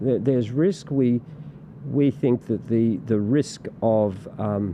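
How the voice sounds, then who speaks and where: Talking at a very slow pace with an Australian accent, a man keeps a medium pitch, ordinary pitch variation and very even loudness, with noticeable background noise behind him. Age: 60s. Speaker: political party representative. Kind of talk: casual interview chat. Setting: podcast studio. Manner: halting, many repetitions and fillers.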